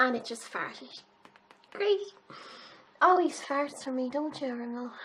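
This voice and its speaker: A woman with an Irish accent speaks at a high pitch and a fairly slow pace. Her intonation is lively, and her loudness swings widely. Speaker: beauty youtuber. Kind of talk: makeup tutorial. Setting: home, filming in pyjamas. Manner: casual, chatty.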